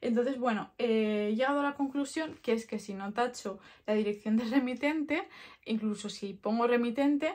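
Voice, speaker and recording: Against a quiet background, a woman speaks fairly slowly at a fairly high pitch with ordinary pitch variation. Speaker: product vlogger. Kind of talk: casual vlog chat. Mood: relaxed, friendly, reflective. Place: home room.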